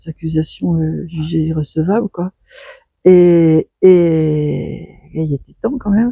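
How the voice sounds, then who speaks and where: A woman at a very slow pace, in a dry, close sound with no echo. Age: 70s. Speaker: sculptor. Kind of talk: interview. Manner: halting.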